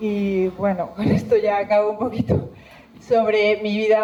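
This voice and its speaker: Speaking with a strong Spanish accent, a woman keeps a fairly slow pace at a medium pitch. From Spain, Zamora province. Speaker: environmental scientist giving a talk. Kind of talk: public talk. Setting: stage with audience. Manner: halting.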